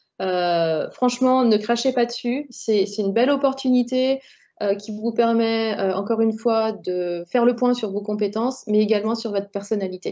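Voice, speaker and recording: A woman's dark, mellow tone, fairly high in pitch, with ordinary pitch variation, moderate pace and a quiet background. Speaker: personal branding coach. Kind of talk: online workshop presentation. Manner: hesitant, many fillers.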